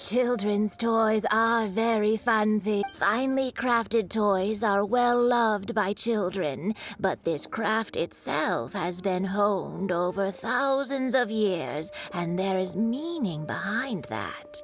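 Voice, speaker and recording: A woman's put-on character voice at a medium pitch, fairly slow pace, with clear music in the background. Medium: video game.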